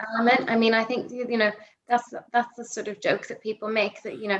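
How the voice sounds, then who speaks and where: This woman rattles along at a very fast speed, her voice at a medium pitch. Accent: Northern Irish. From Northern Ireland, Belfast. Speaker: political journalist. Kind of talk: podcast interview. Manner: hesitant, many fillers and restarts.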